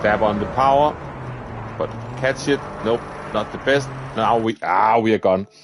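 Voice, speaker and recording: A man speaks at a moderate pace and medium pitch, with fairly even intonation and very even loudness. Long, frequent pauses break his speech, and background noise is noticeable. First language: Danish. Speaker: gaming streamer. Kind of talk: live gameplay commentary. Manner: casual, chatty.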